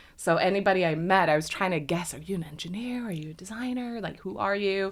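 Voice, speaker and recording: Recorded with audible room echo, a woman at a medium pitch speaks at a very fast pace with ordinary pitch variation. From Sweden. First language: Swedish. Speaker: industrial designer. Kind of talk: podcast interview.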